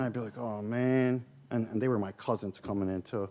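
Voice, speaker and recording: A man with a Philadelphia accent talks at a fairly quick pace in a medium pitch. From US Northeast, South Philadelphia. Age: 50s. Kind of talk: keynote talk.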